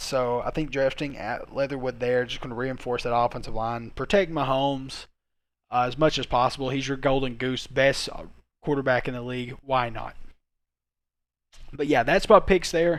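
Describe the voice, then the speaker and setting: Recorded very cleanly against a silent background, a man talks at a medium pitch with fairly even intonation. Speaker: sports YouTuber. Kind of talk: solo commentary video. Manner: fast; hesitant, many fillers.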